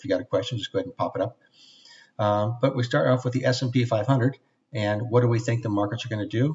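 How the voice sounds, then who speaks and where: This voice is somewhat breathy, with ordinary pitch variation. The pace is very fast. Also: man. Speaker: trading instructor. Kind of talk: website tour webinar.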